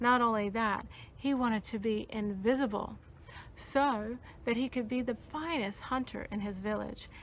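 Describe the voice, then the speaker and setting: In an unremarkable speaking voice, a woman talks at a moderate pace with fairly high pitch and fairly even intonation. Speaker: storyteller. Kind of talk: children's storytelling.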